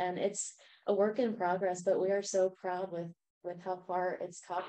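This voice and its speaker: A woman speaks in a dark, mellow tone with monotone, flat intonation. The background is quiet. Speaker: grassroots organizer. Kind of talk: community group discussion. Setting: in-person community gathering. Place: meeting room. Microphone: camera far.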